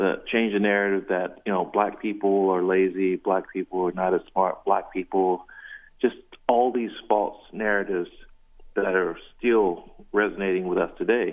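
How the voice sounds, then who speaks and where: Speaking with an American accent, a man at a fairly low pitch holds a moderate pace in a monotone, flat intonation. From South Carolina. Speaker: visual artist and musician. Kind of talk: radio interview. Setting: phone call.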